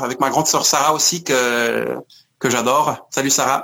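A man's bright, sharp voice moves at a fairly slow pace. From France and Scotland (Paris, Glasgow). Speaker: musician. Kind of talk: interview. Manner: halting, many repetitions.

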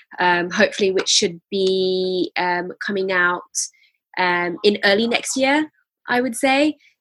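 The recording is dry and close with no echo. A woman at medium pitch speaks at a very slow pace. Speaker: food business founder. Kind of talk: interview conversation. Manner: hesitant, many filler words.

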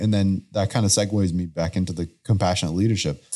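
On a very clean recording with a silent background, a man with an American accent speaks at a very deep, low pitch in a dark, mellow tone with ordinary pitch variation. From Houston, Texas. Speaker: podcast host. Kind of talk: casual interview.

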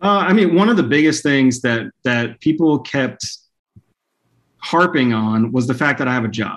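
A man has an unremarkable speaking voice at a fairly high pitch. He talks at a moderate pace with lively intonation. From Texas, Dallas/Fort Worth area. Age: 30s. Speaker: software analytics manager. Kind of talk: podcast interview.

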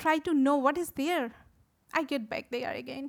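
A woman speaks with a Bengali accent. Her pitch varies in an ordinary way. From Bangladesh. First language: Bangla. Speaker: visual artist and photography teacher. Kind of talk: symposium talk.

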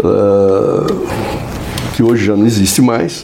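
Fairly slow speech from a man, amid noticeable background noise. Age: 70s. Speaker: advertising executive. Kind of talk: casual interview.

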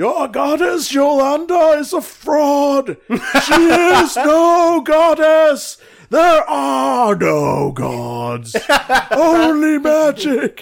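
Using a put-on character voice, a man speaks at a very slow pace with an extremely high pitch.

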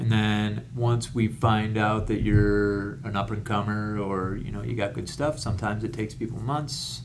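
A man with an American accent speaks at a moderate pace in a fairly low voice with ordinary pitch variation, with audible room echo. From Rochester, New York, US. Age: 40s. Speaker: comedian and retired Marine. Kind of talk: casual interview chat.

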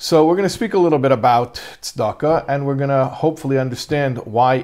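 A man with an American accent speaks at a fairly quick pace, his medium pitch showing ordinary pitch variation. He has a plain, everyday voice, on a very clean recording with a silent background. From US. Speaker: rabbi teaching a class. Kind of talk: lecture.

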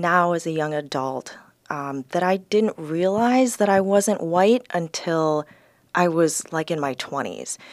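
Fairly low in pitch, a woman with an American accent speaks at a fairly slow pace with lively intonation. The recording is very clean, dry and close, with a silent background and no echo. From US Midwest. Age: 30s. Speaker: lawyer. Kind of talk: casual interview. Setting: studio.

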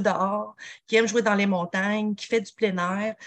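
With a Quebec accent, the speaker keeps a moderate pace and fairly even intonation in a dry, close sound with no echo. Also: woman. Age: 40s. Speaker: nutritionist and mountain athlete. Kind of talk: podcast interview.

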